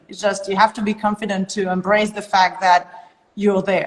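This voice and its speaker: Fairly even intonation with a French accent. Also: woman. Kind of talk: podcast conversation.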